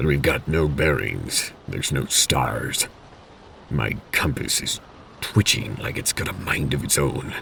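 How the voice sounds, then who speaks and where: A man uses a put-on character voice at a very deep, low pitch. He talks at a fairly slow pace over clear background noise. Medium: read story. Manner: low and level.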